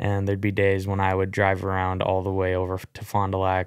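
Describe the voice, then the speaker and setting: A man speaks in a fairly low voice. The background is quiet. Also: dry sound with no echo. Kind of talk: casual podcast conversation. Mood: nostalgic, amused. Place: studio. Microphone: studio mic.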